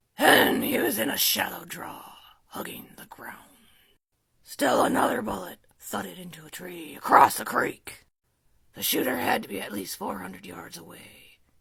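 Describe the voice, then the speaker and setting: The voice is raspy, sitting at a low-to-middle pitch. It moves at a moderate pace. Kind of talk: casual story reading. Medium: read story. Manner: laughing, ad-libbing.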